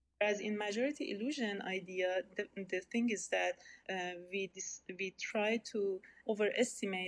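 A woman with an Iranian accent speaks at a medium pitch with ordinary pitch variation. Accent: Iranian (Persian) accent in English. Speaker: researcher in social networks. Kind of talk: interview. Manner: halting, many fillers.

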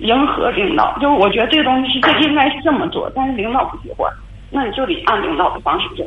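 A woman speaks very fast in a high voice with very wide pitch swings, over noticeable background noise and audible room echo. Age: 30s. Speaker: caller, bank manager. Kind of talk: call-in advice conversation. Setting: phone call. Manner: halting.

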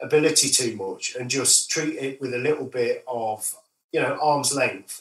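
A man talks at a moderate pace in an East Midlands accent. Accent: northern English, East Midlands. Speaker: musician. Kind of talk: casual interview.

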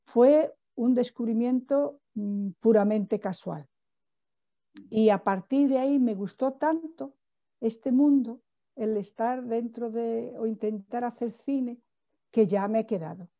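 A woman speaks at a very slow pace with long, frequent pauses. Her pitch is fairly high, with ordinary pitch variation. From Portugal, raised in Spain. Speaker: film director. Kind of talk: interview. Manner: halting, frequent repetitions.

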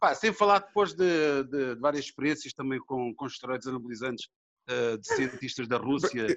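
This man has a plain, everyday voice, with a medium pitch, lively intonation and a moderate pace. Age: 50s. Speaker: bodybuilder and film actor. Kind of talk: casual interview.

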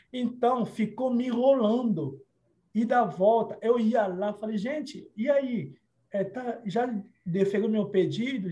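At a very slow pace, a man talks in a high pitch with a dark, mellow tone and ordinary pitch variation. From Democratic Republic of the Congo, Kinshasa. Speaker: lawyer. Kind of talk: interview.

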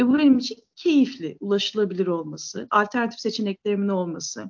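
A plain, everyday voice, a woman's, fairly high in pitch and at a fairly quick pace. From Istanbul, Turkey. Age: 40s. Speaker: theatre founder and writer. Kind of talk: interview conversation.

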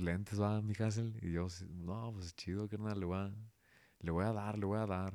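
A man with a Guadalajara accent, very deep, low pitch and monotone, flat intonation, in a very clean recording with a silent background. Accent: Mexican Spanish, Guadalajara. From Guadalajara area, Mexico (Zapopan). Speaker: rapper and dentist. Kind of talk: casual interview.

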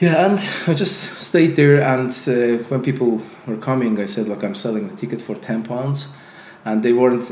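Lively intonation from a man with an Azerbaijani accent, over noticeable background noise. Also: medium pitch for a man, moderate pace. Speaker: entrepreneur and YouTuber. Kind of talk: casual interview conversation. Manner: halting, many fillers.

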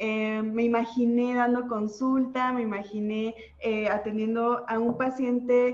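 A woman with a normal speaking voice talks at a fairly high pitch. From Mexico, Oaxaca. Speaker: nutritionist and social media content creator. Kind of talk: casual interview.

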